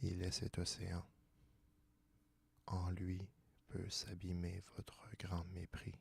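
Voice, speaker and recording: A soft-spoken man whispers in a calm, somewhat breathy tone. His pace is very slow. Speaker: ASMR reader. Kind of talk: soft-spoken ASMR philosophy reading. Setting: studio, close microphone. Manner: soft-spoken, whispery, calm.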